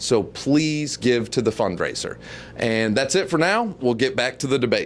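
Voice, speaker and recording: A man at a medium pitch with lively intonation, a moderate pace and very even loudness, on a very clean recording with a silent background. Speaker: local online show host and debate moderator. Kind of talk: fundraising appeal to viewers. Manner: mumbling a little; earnest, pleading.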